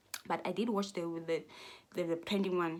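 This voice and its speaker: A woman with a South African accent, fairly low in pitch, at a fairly quick pace. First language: Xhosa. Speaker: YouTuber. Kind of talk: casual vlog rant. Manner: animated; halting.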